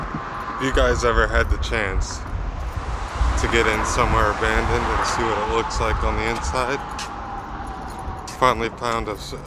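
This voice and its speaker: Over loud background noise, a man talks at a fairly slow pace with a dry sound that has no echo. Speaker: vlogger. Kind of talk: casual vlog chat. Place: street. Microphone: phone near.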